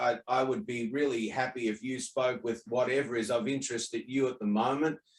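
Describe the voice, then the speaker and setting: The voice has an Australian accent. Its pace is fairly quick. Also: man. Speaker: online talk host. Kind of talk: casual chat. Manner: halting.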